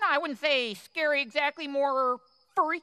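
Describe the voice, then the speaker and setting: This woman uses a cartoonish character voice, pitched high and delivered at a moderate pace. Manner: clipped, officious.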